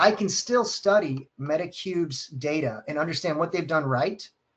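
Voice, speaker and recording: Ordinary pitch variation marks this man's speech. His pitch sits high for a man. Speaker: e-commerce data expert. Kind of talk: webinar presentation. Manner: fast.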